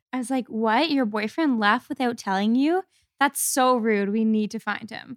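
A woman with a Canadian accent and an unremarkable speaking voice, fairly high in pitch with ordinary pitch variation, at a moderate pace, in a dry, close sound with no echo. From Canada, Kingston, Ontario. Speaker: podcast guest. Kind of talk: casual chat.

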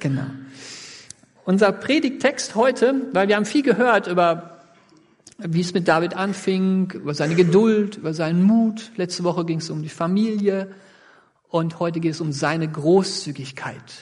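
In a room with audible echo, a man with a high pitch and ordinary pitch variation speaks at a moderate pace, leaving long, frequent pauses. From Sauerland region, western Germany. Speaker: pastor. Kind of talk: sermon.

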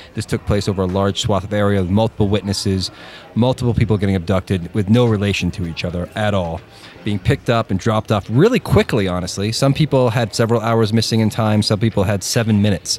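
A man at a very fast pace, fairly even intonation, noticeable background noise. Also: fairly low pitch for a man. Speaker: podcast co-host. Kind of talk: casual chat. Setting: basement.

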